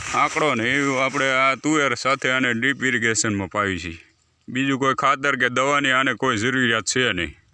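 Recorded very cleanly against a silent background, a man speaks with a bright, sharp tone. His pitch is medium, with ordinary pitch variation. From Gujarat, Amreli district (Saurashtra). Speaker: organic farmer. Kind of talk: farm demonstration video.

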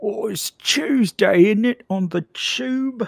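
A put-on character voice in a Cockney accent, fairly high in pitch and at a very slow pace.

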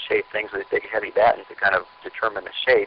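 Noticeable background noise sits behind the speech. A man with an American accent talks at a very fast pace. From Southern California. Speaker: sailor and sailmaker. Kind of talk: interview. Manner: halting.

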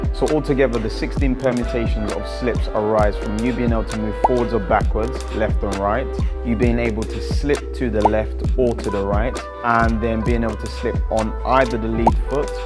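A man talks at a moderate pace with clear music in the background. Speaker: boxing coach. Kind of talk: tutorial. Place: gym. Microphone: lapel.

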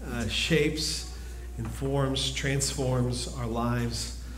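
A man is speaking. There is audible room echo along with light background noise. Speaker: preacher. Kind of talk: sermon. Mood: calm, earnest. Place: church.

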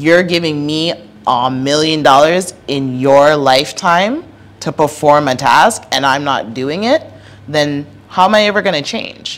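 A woman with a very deep, low pitch talks at a fairly slow pace in an animated tone with ordinary pitch variation. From Toronto, Canada. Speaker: mayoral candidate and policy analyst; candidate, policy analyst. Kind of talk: casual interview chat. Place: studio. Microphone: handheld.

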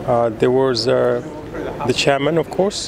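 Recorded with a dry sound and no echo, a man talks at a fairly slow pace over noticeable background noise. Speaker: vlogger filming tribute site. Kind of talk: casual vlog commentary. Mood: somber, respectful. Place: stadium. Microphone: phone near.

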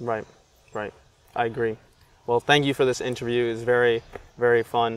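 Monotone and flat, a man speaks at a fairly quick pace in a dry sound with no echo. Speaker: interviewer, comedian journalist. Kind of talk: casual interview questions. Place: garden. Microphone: camera far.

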